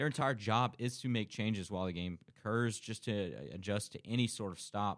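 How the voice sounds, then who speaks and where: A man with a fairly low pitch speaks at a fairly quick pace with hardly any pauses, ordinary pitch variation and an unremarkable speaking voice, in a very clean recording with a silent background. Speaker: college radio sports show host. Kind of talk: casual sports talk. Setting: studio.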